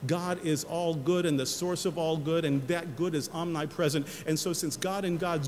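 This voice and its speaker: At a moderate pace, a man with a fairly high pitch speaks amid noticeable background noise. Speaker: senior pastor giving a sermon. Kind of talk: church sermon.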